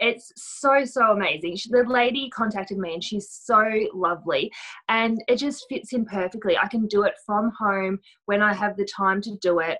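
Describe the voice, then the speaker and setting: A woman's voice, bright and sharp in tone, moves at a moderate pace. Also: fairly high pitch for a woman, ordinary pitch variation. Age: 30s. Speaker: stay-at-home mum and home stylist. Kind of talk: casual interview chat.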